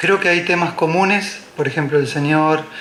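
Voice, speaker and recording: Amid noticeable background noise and audible room echo, a man talks at a fairly quick pace in a fairly high pitch with ordinary pitch variation. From Argentina, Buenos Aires. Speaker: architect, conference speaker. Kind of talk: conference talk. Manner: hesitant fillers (eh).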